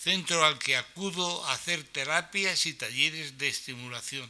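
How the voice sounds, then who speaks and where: A man talks in an unremarkable speaking voice. His pitch varies in an ordinary way. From Spain, Valencian region (Aspe, Elche). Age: 60s. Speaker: center user with Alzheimer's. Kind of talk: reading aloud. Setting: conference hall, live stream.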